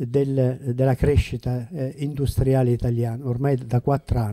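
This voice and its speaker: A man's medium-pitched voice with a dark, mellow tone, fairly even intonation, and a moderate pace over a quiet background. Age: old. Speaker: retired school principal, former councillor; former councillor. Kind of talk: panel discussion. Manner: halting. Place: shop. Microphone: handheld.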